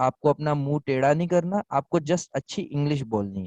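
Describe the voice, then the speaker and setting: Lively intonation from a man with a Pakistani English accent, fairly high in pitch, at a moderate pace, with a dry, close sound with no echo and a quiet background. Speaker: online selling instructor. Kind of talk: Q&A in online class.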